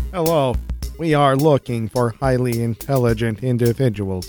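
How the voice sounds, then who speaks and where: A robotic put-on character voice at a low-to-middle pitch and a moderate pace, with faint music in the background. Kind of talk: formal recruitment message.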